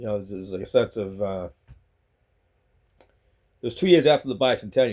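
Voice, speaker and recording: A man with a Boston accent, a dark, mellow tone, lively intonation and a very fast pace. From Boston, Massachusetts. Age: 60s. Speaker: vlogger. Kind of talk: casual monologue vlog. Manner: rambling, halting with repetitions.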